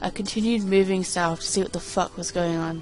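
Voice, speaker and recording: A woman speaks at a fairly low pitch with music playing in the background. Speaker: creepypasta reader. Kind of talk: reading aloud. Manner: fast; halting.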